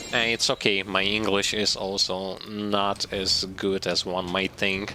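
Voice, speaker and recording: A man with a non-native accent speaks at a fairly slow pace and a fairly low pitch, in a monotone, flat intonation with very even loudness, over noticeable background noise. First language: not English. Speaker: gaming streamer. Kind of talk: live gameplay commentary. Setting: live stream. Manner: halting, self-correcting.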